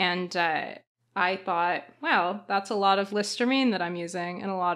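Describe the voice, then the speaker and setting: A woman speaks at a medium pitch with a Canadian accent and fairly even intonation, in a plain, everyday voice. The recording is very clean, with a silent background. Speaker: podcast co-host, PhD student. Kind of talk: casual chat.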